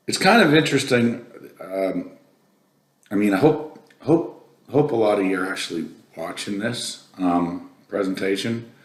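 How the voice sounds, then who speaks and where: A man speaks at a medium pitch and a fairly slow pace with lively intonation, long and frequent pauses, and audible room echo. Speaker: company president presenting a technical webinar. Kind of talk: casual aside to viewers; technical presentation. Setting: virtual presentation.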